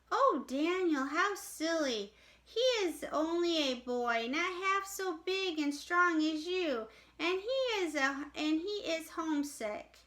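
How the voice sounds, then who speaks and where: In a squeaky, put-on character voice pitched extremely high, a woman speaks at a fairly slow pace with lively intonation. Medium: read story. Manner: gentle, questioning.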